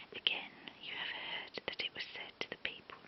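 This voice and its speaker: Whispering from a woman, fairly slow, over noticeable background noise. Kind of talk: ASMR Bible reading. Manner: whispered.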